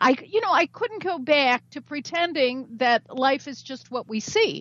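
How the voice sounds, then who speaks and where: Noticeable background noise sits behind a woman's high-pitched voice. The sound is dry and close with no echo. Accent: American. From US Midwest, Chicago. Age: 60s. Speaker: spiritual author and teacher. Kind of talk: radio interview. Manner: halting.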